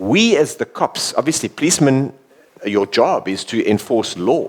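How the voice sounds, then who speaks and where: Using very wide pitch swings at a moderate pace, a man speaks in a dry, close sound with no echo. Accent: South African. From South Africa. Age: 50s. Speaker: former bodyguard and police officer. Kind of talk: talk interview before an audience. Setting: village hall with live audience.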